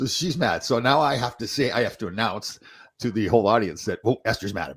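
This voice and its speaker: Somewhat breathy and animated, a man rattles along at a very fast pace and medium pitch with lively intonation and big swings in loudness, on a very clean recording with a silent background. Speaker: podcast host. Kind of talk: casual chat.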